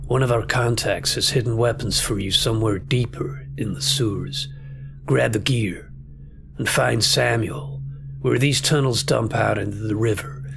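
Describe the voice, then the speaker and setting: Putting on a character voice with a fairly low pitch, a man speaks at a moderate pace over clear background noise. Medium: game stream. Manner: weary.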